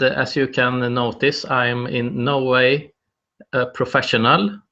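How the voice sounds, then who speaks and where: Speaking very slowly, a man with a Swedish accent uses a medium pitch. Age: 30s. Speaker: wellbeing activist, video host. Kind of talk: live solo presentation. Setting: live video broadcast. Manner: halting, many fillers.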